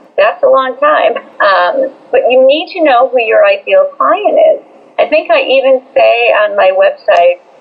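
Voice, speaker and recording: Against noticeable background noise, a woman speaks at a very even loudness. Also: fairly slow pace. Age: 60s. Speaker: business coach. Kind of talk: interview.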